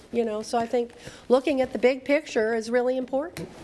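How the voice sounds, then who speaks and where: A woman speaks over noticeable background noise. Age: 70s. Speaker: planning commission member. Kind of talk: public meeting discussion.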